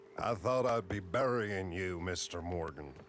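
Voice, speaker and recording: Doing a put-on character voice, a man speaks at a moderate pace in a raspy, very deep, low register, with clear background noise. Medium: video game.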